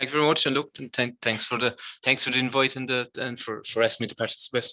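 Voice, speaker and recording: With a Cork accent, a man speaks very fast in a medium, bright, sharp voice, monotone and flat, with a dry, close sound and no echo. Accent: Cork Irish. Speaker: amateur hurler and footballer. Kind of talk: interview. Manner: halting.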